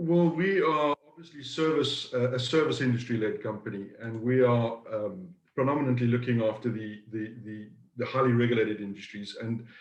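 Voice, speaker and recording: At a fairly quick pace, a man speaks in a somewhat breathy voice at medium pitch with ordinary variation. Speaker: business owner. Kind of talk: interview. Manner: halting, repeats words.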